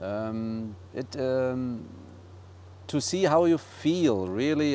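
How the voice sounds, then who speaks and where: The tone is dark and mellow. It comes with a German accent. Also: man. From Germany, Bavaria. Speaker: eco resort owner. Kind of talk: interview.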